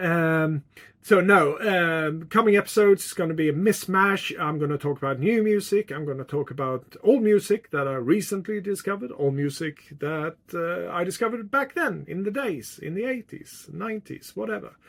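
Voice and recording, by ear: A man speaks with a Swedish accent at a moderate pace. His pitch is high and his tone fairly bright. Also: ordinary pitch variation. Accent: Swedish, living in the UK.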